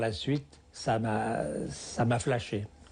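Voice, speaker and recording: There is vocal fry in this man's voice, and his pitch varies in an ordinary way. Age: 70s. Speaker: hang-gliding pioneer. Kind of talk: interview testimony. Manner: halting, with repetitions.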